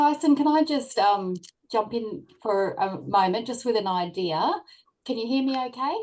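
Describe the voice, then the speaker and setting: Speaking at a moderate pace with an Australian accent, a woman uses a fairly high pitch and lively intonation. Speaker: workplace wellbeing consultant. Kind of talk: panel discussion. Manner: hesitant, many fillers.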